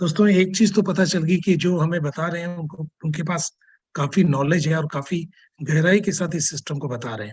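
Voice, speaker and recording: Moderately paced, a man talks at a high pitch. His pitch varies in an ordinary way. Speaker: call moderator. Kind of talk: online call moderation.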